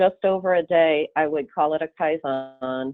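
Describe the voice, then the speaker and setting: With a slight Upper Midwest accent, a woman talks at a moderate pace in a very deep, low pitch with ordinary pitch variation. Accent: slight Upper Midwest (Fargo-like). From Michigan, US. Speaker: consultant presenter. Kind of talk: webinar presentation.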